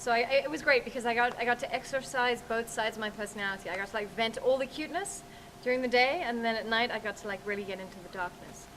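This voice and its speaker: Over noticeable background noise, a woman talks at a very fast pace in an American accent. Her pitch is fairly high, with ordinary pitch variation. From South Africa. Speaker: author. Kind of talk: interview.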